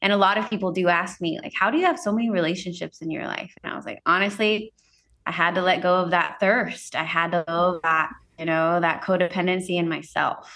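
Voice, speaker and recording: A woman with an American accent speaks fairly quickly at medium pitch, in a bright, sharp tone with fairly even intonation, on a very clean recording with a silent background. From Central California. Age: 30s. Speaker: entrepreneur and wellness speaker. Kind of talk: interview conversation. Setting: studio.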